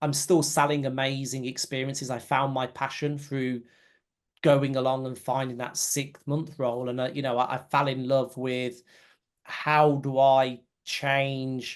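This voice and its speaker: Against a quiet background, a voice with a British accent moves at a fairly slow pace in a monotone, flat intonation. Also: man, medium pitch for a man. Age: 40s. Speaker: company CEO. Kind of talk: interview. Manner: halting.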